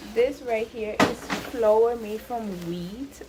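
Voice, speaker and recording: Audible room echo and noticeable background noise surround the voice. A woman speaks with a fairly high pitch. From Jamaica. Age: 20s. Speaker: vlogger. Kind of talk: casual vlog narration. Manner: casual, hesitant.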